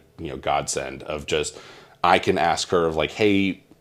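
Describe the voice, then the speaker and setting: A man talks at a fairly slow pace with a Southern US accent. His voice is very deep and low. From Mississippi. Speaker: insurance broker. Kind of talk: interview. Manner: halting.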